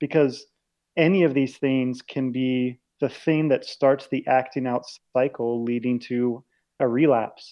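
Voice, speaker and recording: Speaking fairly slowly, a man uses an unremarkable speaking voice at medium pitch with fairly even intonation. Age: 20s. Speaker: ministry author and speaker. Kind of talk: casual interview conversation.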